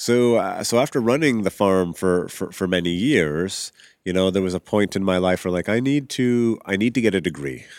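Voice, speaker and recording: A man with a Canadian accent, fairly low pitch, moderate pace and lively intonation, in a very clean recording with a silent background. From Canadian Prairies, Regina. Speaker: urban farmer. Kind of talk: casual interview. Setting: live at a conference.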